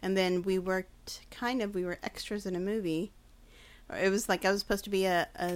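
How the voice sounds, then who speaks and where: At a fairly quick pace, a woman with a medium pitch speaks in a monotone, flat way on a very clean recording with a silent background. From Mexican heritage. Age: 40s. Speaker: podcast guest, host's friend. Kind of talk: casual chat. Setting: studio.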